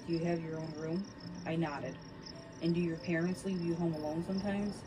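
Noise in the background is noticeable. The speech moves fairly quickly. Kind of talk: reading aloud a scary story, bedtime ghost-story telling. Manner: shifts between narrator and characters, lightly acting out dialogue.

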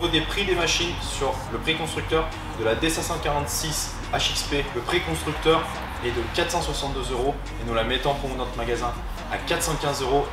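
Music plays in the background while a man speaks at a very slow pace with long, frequent pauses. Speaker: shop salesman. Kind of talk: product presentation. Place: shop.

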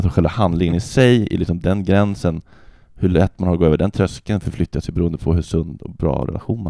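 A man with a very deep, low pitch and ordinary pitch variation speaks at a very fast pace, the sound dry with no echo over a quiet background. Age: 30s. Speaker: comedian. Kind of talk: casual chat. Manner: halting. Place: home room. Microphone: handheld.

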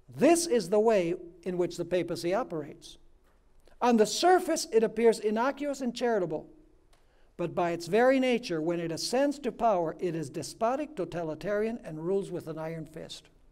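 A dark, mellow tone at a fairly quick pace with big swings in loudness, over a quiet background. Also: man. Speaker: preacher. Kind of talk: sermon. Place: stage. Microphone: lapel.

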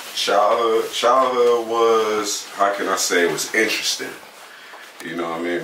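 A man at a moderate pace, with audible room echo and light background noise. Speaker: interviewee. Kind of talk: interview answer. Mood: relaxed, storytelling. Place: empty room.

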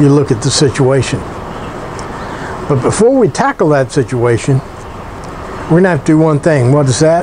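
A man's speech, with ordinary pitch variation, comes through noticeable background noise. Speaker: woodworking channel host. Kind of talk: casual vlog chat. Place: workshop.

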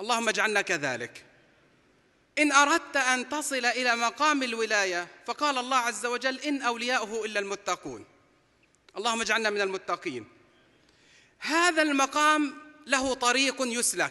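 In a raised, projected voice with a bright, sharp tone, the speaker goes at a fairly slow pace with long, frequent pauses and ordinary pitch variation against a quiet background. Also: man, extremely high pitch for a man. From Palestine. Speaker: preacher. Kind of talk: sermon. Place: hall. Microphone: podium.

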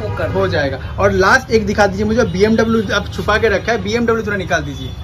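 A man talking with hardly any pauses over noticeable background noise. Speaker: vlogger touring a toy shop. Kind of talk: casual vlog chat with shopkeeper. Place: shop. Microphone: phone near.

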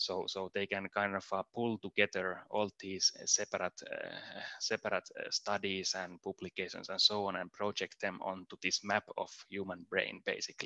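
Against a quiet background, a man talks with hardly any pauses. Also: dry sound with no echo. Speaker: machine learning engineer. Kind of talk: conference talk. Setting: remote presentation. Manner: clear, deliberate pronunciation. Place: home room.

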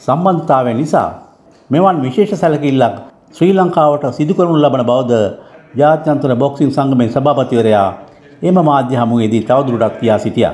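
A man talks at a very slow pace with lively intonation and a fairly high pitch. Noticeable background noise runs underneath. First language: Sinhala. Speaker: news narrator. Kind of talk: scripted news narration.

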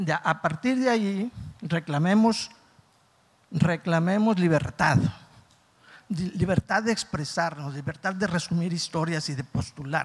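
A man's high-pitched voice at a fairly slow pace, with ordinary pitch variation and long, frequent pauses. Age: 60s. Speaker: audience member, teacher; audience member. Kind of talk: audience question. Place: hall. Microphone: handheld.

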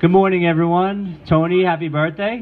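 Music plays in the background. A man with a fairly high pitch speaks at a fairly slow pace. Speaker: mayor. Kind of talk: ceremonial citation reading. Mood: warm, celebratory. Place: hall. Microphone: handheld.

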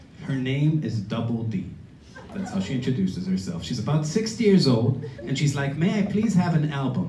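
A man's animated tone rides very wide pitch swings. Light background noise and audible room echo surround him. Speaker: storyteller; musician. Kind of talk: live storytelling, comedic personal anecdote. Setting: stage with audience. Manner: animated, punchy comic delivery, crowd-pleasing. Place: stage. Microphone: camera far.

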